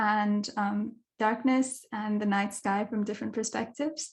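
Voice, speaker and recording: Against a quiet background, a woman speaks at a moderate pace. Her fairly high voice is somewhat breathy. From Kenya. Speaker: dark sky advocate, astronomy communicator. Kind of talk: online talk / presentation.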